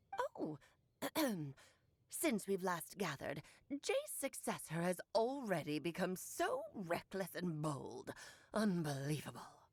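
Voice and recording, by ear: Using a put-on character voice, a woman speaks at a fairly slow pace with long, frequent pauses. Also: medium pitch for a woman.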